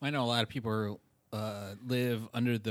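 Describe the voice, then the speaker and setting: The voice moves at a moderate pace in an American accent. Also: man. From New York. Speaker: podcast co-host. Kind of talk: casual chat.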